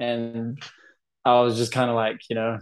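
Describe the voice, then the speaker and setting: With a New Zealand accent, a man is talking. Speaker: anxiety and OCD coach. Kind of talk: interview.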